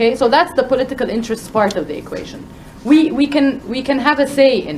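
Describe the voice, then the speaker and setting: With noticeable background noise behind her, a woman talks at a very fast pace in a high pitch, with ordinary pitch variation and big swings in loudness. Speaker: panel speaker, women's rights advocate. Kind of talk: panel talk.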